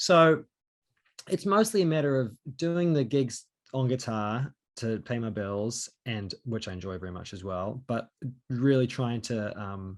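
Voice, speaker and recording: A man with a New Zealand accent speaks fairly slowly at a medium pitch, with lively intonation. His loudness swings a lot, and the background is quiet. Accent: New Zealand accent, noticed by Americans. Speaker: singer-songwriter and session guitarist. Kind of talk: interview. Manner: hesitant, many fillers.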